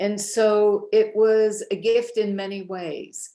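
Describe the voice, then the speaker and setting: A woman's voice is heard here. It has a dark, mellow tone. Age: 70s. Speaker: author and speaker. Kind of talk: interview.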